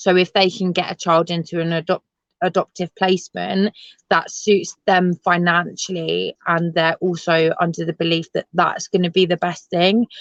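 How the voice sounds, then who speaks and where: A woman with a London accent speaks at a moderate pace in a fairly low pitch. Her intonation is monotone and flat, and the sound is dry and close with no echo. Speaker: adoptee and assistant ranger. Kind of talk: interview. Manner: hesitant, many fillers; loud.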